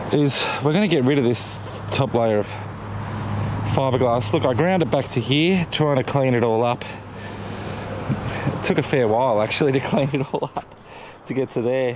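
At a moderate pace with ordinary pitch variation, a man speaks with long, frequent pauses, the sound dry with no echo but noticeable background noise. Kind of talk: casual vlog chat. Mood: relaxed, slightly frustrated. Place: open country. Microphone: phone near.

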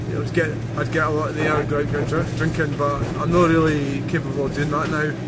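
A man keeps a moderate pace while loud background noise carries on. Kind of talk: casual vlog chat. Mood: reflective, calm. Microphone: phone near.

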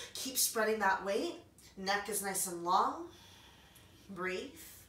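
Audible room echo surrounds a woman's voice. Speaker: yoga instructor. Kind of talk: guided yoga class. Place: home room. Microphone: camera far.

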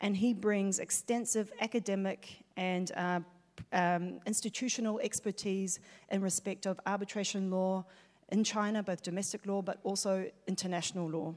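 The intonation is monotone and flat against a quiet background. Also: woman. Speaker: panel moderator. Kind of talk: conference panel moderation. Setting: stage with audience. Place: hall. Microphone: handheld.

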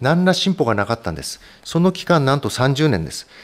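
A man speaks in a fairly high voice. His pitch swings very widely. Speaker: hematologist; physician lecturer. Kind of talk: medical lecture. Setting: online webinar. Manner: frequent fillers and hedges.

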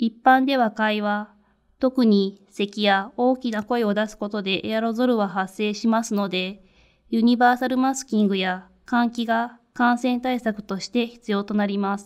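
A plain, everyday voice from a woman, fairly high in pitch, fairly slow, with fairly even intonation. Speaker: infection control nurse. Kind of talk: lecture. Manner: formal.

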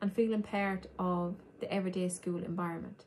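A woman with an Irish accent, somewhat breathy and dark, mellow in tone, at a fairly quick pace over light background noise. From Ireland. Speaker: human rights advocate and trainee teacher. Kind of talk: educational talk. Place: home room. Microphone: phone near.

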